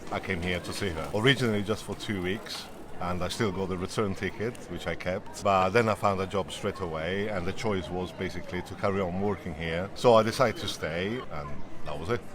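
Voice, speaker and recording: A man with an Italian accent, very deep and low in pitch, at a fairly quick pace with fairly even intonation, over noticeable background noise. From Italy. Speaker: interviewee, long-time resident. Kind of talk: interview.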